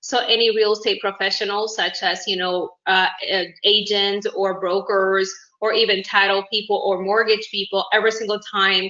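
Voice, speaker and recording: Her pitch sits in the medium range and her speed is moderate. This woman's intonation stays monotone and flat. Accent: Uruguayan. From Uruguay. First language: Spanish. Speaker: independent business owner. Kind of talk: networking self-introduction. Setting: video call.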